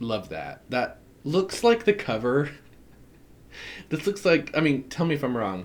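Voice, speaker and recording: With vocal fry and a fairly high pitch, a man talks fairly slowly, pausing long and often while his pitch swings very widely. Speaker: tarot reader. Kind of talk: casual unboxing chat. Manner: animated.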